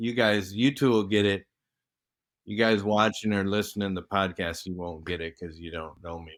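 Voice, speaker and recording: Speaking in a plain, everyday voice at a moderate pace, a man with a fairly low pitch keeps his intonation fairly even while his loudness swings widely, all in a very clean recording against a silent background. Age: 60s. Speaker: retired professional athlete, podcast guest. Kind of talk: casual chat.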